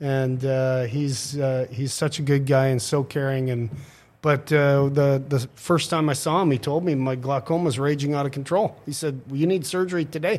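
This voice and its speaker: A man with an unremarkable speaking voice talks at a moderate pace. His pitch is fairly high and his intonation fairly even. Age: 50s. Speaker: city council president. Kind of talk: casual interview. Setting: studio.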